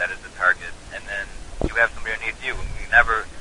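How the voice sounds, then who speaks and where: Noticeable background noise runs throughout. Over it, a man talks very fast. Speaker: online activist. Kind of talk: casual chat. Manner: animated.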